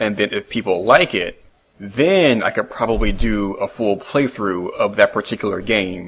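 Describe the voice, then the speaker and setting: Quiet and fairly slow, a man talks in a fairly low pitch with fairly even intonation. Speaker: solo video podcaster. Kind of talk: casual monologue. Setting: home recording at computer. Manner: quiet, reserved.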